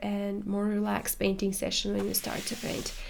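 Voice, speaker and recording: There is audible room echo around a woman whose voice sits at a medium pitch. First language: not English. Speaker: watercolor artist and tutor. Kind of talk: casual chat while painting. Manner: halting, many fillers.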